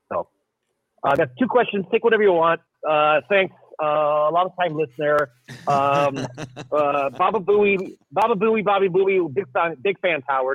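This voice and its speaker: An American-accented man speaks at a moderate pace with a high pitch. His pitch variation is ordinary. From Portland, Oregon. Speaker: caller, film projectionist. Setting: phone call.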